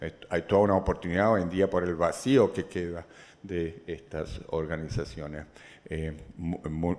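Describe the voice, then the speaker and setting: A man with a very deep, low voice speaks at a fairly slow pace. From Chile. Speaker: economist and governance expert. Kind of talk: lecture. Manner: halting, with frequent false starts.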